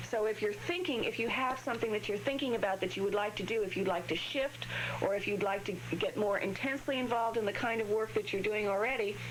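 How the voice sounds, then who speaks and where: A woman's fairly high voice at a fairly quick pace, with ordinary pitch variation and very even loudness, amid audible room echo and noticeable background noise. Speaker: astrologer. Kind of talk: call-in astrology readings. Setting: TV/radio studio. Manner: halting, some stuttering.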